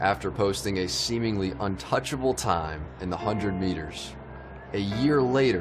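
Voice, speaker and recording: Over background music, a man with a very deep, low voice speaks at a fairly slow pace, his pitch swinging very widely. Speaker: sports journalist. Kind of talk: documentary narration.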